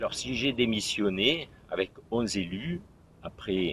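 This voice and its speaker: Here a man speaks. He takes a fairly slow pace. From southern France, Provence. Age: 60s. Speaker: municipal election candidate. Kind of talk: campaign self-presentation. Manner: halting, with hesitations.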